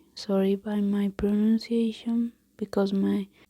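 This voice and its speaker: The speech comes at a very slow pace. It carries a Colombian accent. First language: Spanish. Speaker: ASMR creator. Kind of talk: ASMR idiom reading and explanation. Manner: halting; soft-spoken.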